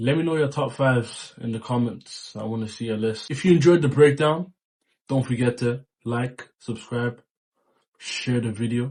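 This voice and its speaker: Ordinary pitch variation and a moderate pace mark this somewhat breathy voice. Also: man, medium pitch for a man. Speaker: music youtuber. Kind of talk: album ranking monologue.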